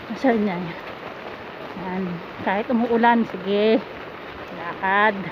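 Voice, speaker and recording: Noticeable noise hums in the background. The speech moves at a fairly slow pace with long, frequent pauses. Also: woman, medium pitch for a woman. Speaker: vlogger, domestic worker. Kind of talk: casual vlog narration. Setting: outdoors in the rain. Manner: animated.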